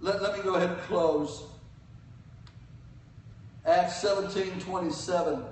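Audible room echo hangs around a man's voice. He speaks high-pitched at a fairly slow pace. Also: fairly even intonation.

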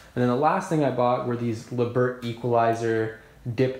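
Audible room echo surrounds a man talking at a moderate pace. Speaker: home fitness vlogger. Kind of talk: casual vlog chat. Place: home room. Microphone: phone near.

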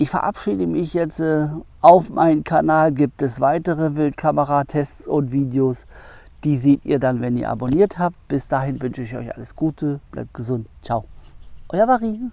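Dry with no echo, a man's fairly high voice has a dark, mellow tone and lively intonation at a moderate pace. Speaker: wildlife camera reviewer. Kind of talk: product review vlog. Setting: outdoors in the woods. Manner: casual, with slips and restarts. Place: forest. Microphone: lapel.

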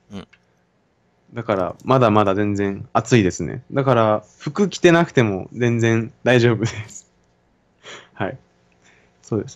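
Against a quiet background, a man with a medium pitch and ordinary pitch variation talks at a fairly slow pace, leaving long, frequent pauses. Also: big swings in loudness. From Japan. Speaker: university student. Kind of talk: casual conversation. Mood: relaxed, friendly. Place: home room. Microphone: studio mic.

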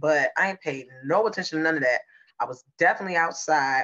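Set against a quiet background, the speech moves through ordinary pitch variation. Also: woman. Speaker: podcast co-host. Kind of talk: casual podcast storytelling. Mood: laid-back, joking. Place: home room. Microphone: video call.

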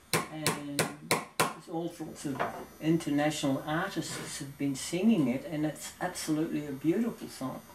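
A man speaks at a fairly slow pace with ordinary pitch variation, and there is noticeable background noise. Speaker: model ship builder. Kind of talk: casual tutorial talk to camera. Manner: slow, rambling.

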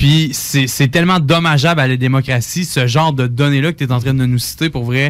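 At a moderate pace and fairly high pitch, a man speaks with hardly any pauses. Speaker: community radio host. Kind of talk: radio interview. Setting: radio studio. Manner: animated.

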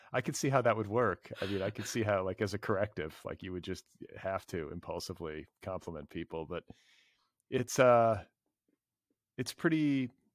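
Over a quiet background with dry sound and no echo, a man with an American accent speaks at a moderate pace and fairly low pitch, using lively intonation and long, frequent pauses. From US Midwest. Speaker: literary podcast host. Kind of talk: casual interview conversation. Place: home room. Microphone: studio mic.

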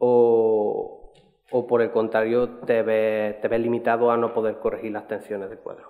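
In a monotone, flat intonation, a man holds a medium pitch. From Seville, Andalusia, Spain. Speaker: doctoral researcher. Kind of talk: conference talk. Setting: stage with audience. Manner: halting, many repetitions.

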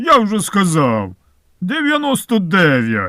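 A middle-pitched, put-on character voice. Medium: read story. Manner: grasping, self-satisfied.

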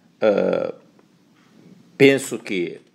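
Against noticeable background noise, a man speaks with a Chinese accent. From China. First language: Chinese (speaking Portuguese). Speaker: professor. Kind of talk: recorded self-introduction. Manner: halting.

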